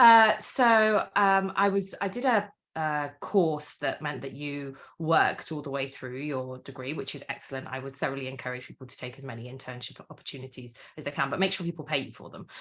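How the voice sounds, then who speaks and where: Fairly quick, lively speech in a slight Welsh accent, with big swings in loudness. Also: woman, very deep, low pitch for a woman. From Wales. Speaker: author and campaigner. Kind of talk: interview.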